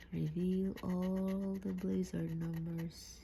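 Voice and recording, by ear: Fairly low-pitched for a woman, her voice has a dark, mellow tone, vocal fry, little pitch movement and a slow pace.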